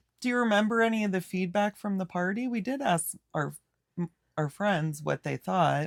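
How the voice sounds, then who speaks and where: A woman's medium-pitched voice at a moderate pace, lively in intonation, with a dry, close sound and no echo. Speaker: podcast co-host. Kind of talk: casual chat. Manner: loud.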